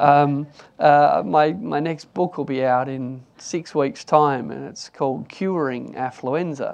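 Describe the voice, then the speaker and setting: Very slowly, a man with an Australian accent speaks at a fairly high pitch. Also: ordinary pitch variation. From Australia, Newcastle NSW. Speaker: economist. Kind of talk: panel discussion.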